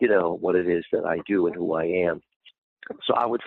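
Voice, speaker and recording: A man's very deep, low voice moves at a fairly quick pace, its pitch varying in an ordinary way. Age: 60s. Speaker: youth mentor. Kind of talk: interview. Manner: halting.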